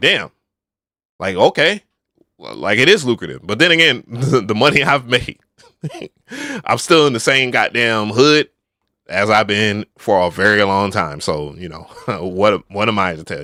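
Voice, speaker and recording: A man with a fairly low pitch and a bright, sharp tone speaks at a fairly slow pace, with very wide pitch swings, big swings in loudness, and long, frequent pauses, in dry, close sound with no echo. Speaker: live streamer. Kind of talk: casual, slangy. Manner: stutters.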